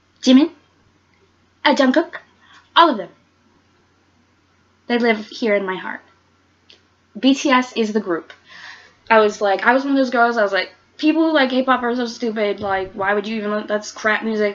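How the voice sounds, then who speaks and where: A woman with a fairly high pitch and an animated tone talks at a moderate pace with ordinary pitch variation, leaving long, frequent pauses. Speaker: YouTuber. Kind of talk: casual countdown vlog. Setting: bedroom.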